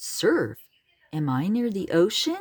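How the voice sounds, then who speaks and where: A female-sounding put-on character voice at medium pitch. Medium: read story.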